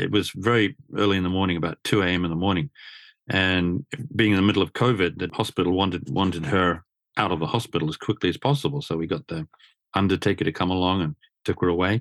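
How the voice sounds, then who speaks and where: A man with an Australian accent talks at a very fast pace, his pitch very deep and low with ordinary variation. The sound is dry and close with no echo, on a very clean recording with a silent background. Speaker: motor journalist. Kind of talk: coaching conversation.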